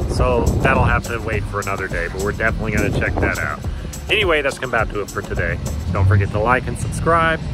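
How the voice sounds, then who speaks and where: A man's voice, dry with no echo, over music in the background. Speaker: food travel vlogger. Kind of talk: casual vlog chat. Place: street. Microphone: phone near.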